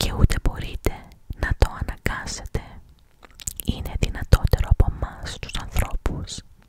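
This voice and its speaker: A woman whispers over noticeable background noise, her loudness swinging widely, with long and frequent pauses in a dry, close sound that has no echo. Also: moderate pace. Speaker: ASMR creator. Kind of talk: whispered reading of a Greek short story. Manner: whispered, close-up.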